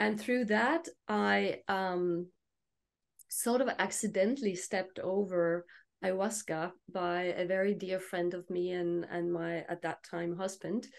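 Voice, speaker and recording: With a Danish accent, a woman speaks at a fairly slow pace with ordinary pitch variation against a quiet background. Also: medium pitch for a woman. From Denmark. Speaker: plant medicine and genital de-armouring practitioner. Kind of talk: panel discussion.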